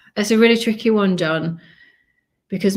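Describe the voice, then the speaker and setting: A woman with a Yorkshire accent talks at a fairly quick pace. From northern England, Leeds, Yorkshire. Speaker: family vlogger and relocation advisor. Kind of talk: live stream Q&A. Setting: live stream. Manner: casual, chatty.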